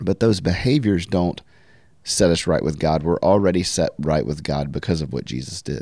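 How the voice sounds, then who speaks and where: A man with a very deep, low pitch, a Southern US accent, vocal fry, a dark, mellow tone and lively intonation at a moderate pace, in a very clean recording with a silent background. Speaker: podcast host. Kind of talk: casual interview.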